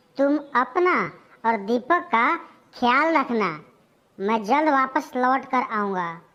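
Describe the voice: In a cartoonish character voice, a woman speaks very slowly at a high pitch, her pitch swinging very widely while her loudness stays very even.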